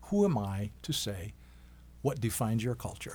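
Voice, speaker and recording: A somewhat breathy man with an American accent, fairly low in pitch, at a moderate pace. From Wisconsin, Oneida reservation near Green Bay. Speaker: doctor. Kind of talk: interview, life story.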